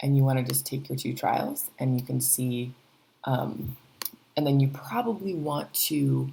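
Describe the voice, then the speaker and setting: Soft-spoken, the voice moves at a fairly slow pace. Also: woman. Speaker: teacher. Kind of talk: tutorial. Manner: hesitant, many fillers. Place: home room. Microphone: webcam.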